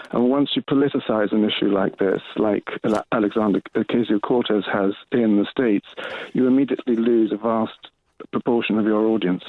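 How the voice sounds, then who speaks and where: A man with an unremarkable speaking voice talks at a fairly quick pace, medium pitch, fairly even intonation and very even loudness. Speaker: caller. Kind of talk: phone-in call. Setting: phone call.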